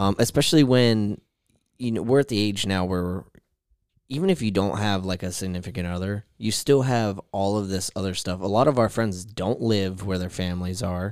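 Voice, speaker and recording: Using a plain, everyday voice, a man speaks at a fairly low pitch and moderate pace with ordinary pitch variation. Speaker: podcast co-host. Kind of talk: casual chat. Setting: studio.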